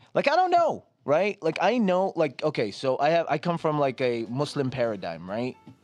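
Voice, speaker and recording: Over music in the background, a man with a fairly high pitch makes very wide pitch swings. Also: moderate pace, hardly any pauses. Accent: American. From New Jersey. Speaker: podcast guest. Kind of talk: casual chat.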